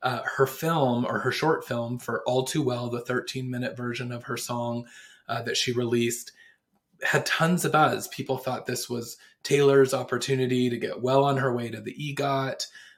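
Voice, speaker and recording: A man with a medium-pitched, somewhat breathy voice talks at a moderate pace with fairly even intonation. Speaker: pop culture podcast host. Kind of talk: solo podcast commentary. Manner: casual, with frequent fillers.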